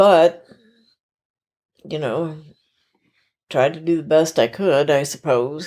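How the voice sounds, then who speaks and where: Very slowly, a woman speaks in a Southern US accent with a very deep, low pitch and a dark, mellow tone. Her pitch varies in an ordinary way, and she takes long, frequent pauses. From US South. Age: 70s. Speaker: interviewee. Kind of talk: casual chat.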